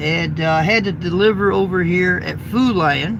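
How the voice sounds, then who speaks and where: A man with an American accent speaks at a high pitch with ordinary pitch variation. Audible room echo and noticeable background noise are present. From Indiana. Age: 50s. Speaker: truck driver and YouTuber. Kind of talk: casual live stream chat. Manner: casual and chatty.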